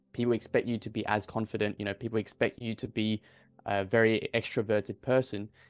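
A man in an Australian accent talks at a very fast pace and medium pitch, the sound dry and close with no echo and the background quiet. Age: 20s. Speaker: medical student and confidence coach. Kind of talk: casual interview. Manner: animated.

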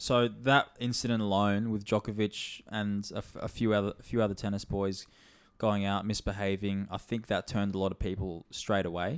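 A man with an Australian accent speaks at a moderate pace and fairly low pitch, monotone and flat, in a very clean recording with a silent background. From Australia, Sunshine Coast. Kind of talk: casual chat. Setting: studio.

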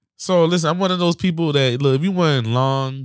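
A man with lively intonation at a moderate pace, on a very clean recording with a silent background. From West Palm Beach, Florida, US. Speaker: podcast co-host. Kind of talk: casual chat, comedic banter.

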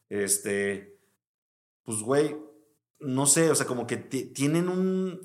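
A man's fairly high voice with very wide pitch swings, a very slow pace and long, frequent pauses, in audible room echo. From Mexico, Veracruz. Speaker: music producer. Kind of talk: casual chat.

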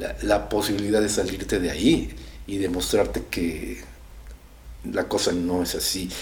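Fairly slow speech from a man, amid audible room echo and noticeable background noise. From Mexico, raised in Ciudad Satélite area (State of Mexico), born in Guadalajara. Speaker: rock musician and singer. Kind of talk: casual interview chat. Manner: halting, many repetitions.

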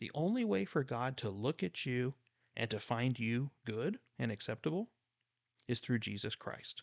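A man's medium-pitched, unremarkable speaking voice with lively intonation and a dry, close sound with no echo. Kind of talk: fervent prayer led by a preacher, closing the teaching; sermon-style teaching. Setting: solo podcast recording. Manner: hushed, reverent, slow and earnest, pleading tone.

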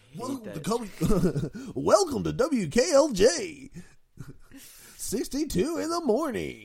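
Speaking at a very slow pace, a man uses a put-on character voice pitched extremely high. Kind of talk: cheesy, over-the-top radio announcer.

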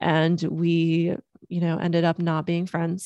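Against a quiet background, a woman with an American accent and a fairly low pitch speaks at a very slow pace, the sound dry and close with no echo. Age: 30s. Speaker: self-love coach and podcast host. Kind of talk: solo podcast monologue. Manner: casual, filler-heavy.

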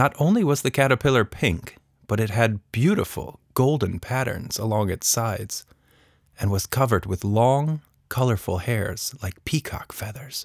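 In a very clean recording with a silent background and a dry, close sound with no echo, a man with a plain, everyday voice speaks at a moderate pace, with a medium pitch and ordinary pitch variation. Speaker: author and narrator. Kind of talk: children's story audiobook narration. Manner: gentle, expressive storytelling with playful character voices; warm, playful, and humorous in the intro.

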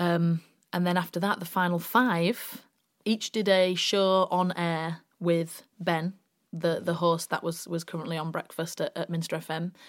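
A woman with a West Yorkshire accent speaks at a fairly slow pace. Her pitch is fairly low and her intonation monotone and flat. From West Yorkshire, Bradford. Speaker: radio presenter and actress. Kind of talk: casual chat.

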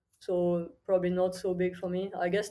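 In a French accent, a woman speaks at medium pitch and a moderate pace, her tone dark and mellow and her intonation flat and monotone. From southern France, near Toulouse. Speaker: crypto trading firm co-founder. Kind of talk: interview. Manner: hesitant, many fillers.

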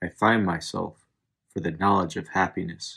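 A man's very deep, low voice at a fairly slow pace with fairly even intonation, in a very clean recording with a silent background. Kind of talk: poetry reading, spoken word. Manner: slow, contemplative, measured delivery.

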